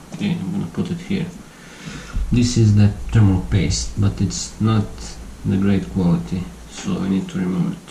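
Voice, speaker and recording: A man with a non-native accent talks at a moderate pace with long, frequent pauses, amid audible room echo and noticeable background noise. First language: not English. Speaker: tech YouTuber. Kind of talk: tutorial. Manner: halting. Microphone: voice too quiet under music.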